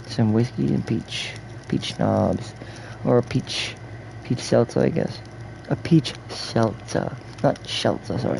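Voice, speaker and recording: Very slow speech with long, frequent pauses and noticeable background noise. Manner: casual, rambling.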